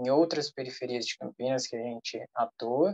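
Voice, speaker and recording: In an unremarkable speaking voice, the man talks at medium pitch and a moderate pace, with ordinary pitch variation. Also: dry, close sound with no echo. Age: 20s. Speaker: social entrepreneur. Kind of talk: self-introduction in online meeting.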